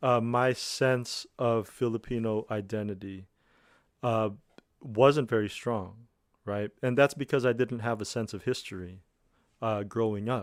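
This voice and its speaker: Recorded very cleanly against a silent background, an unremarkable speaking voice with an American accent keeps a fairly even intonation. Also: man, medium pitch for a man. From United States. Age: 30s. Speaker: musician. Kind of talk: radio interview.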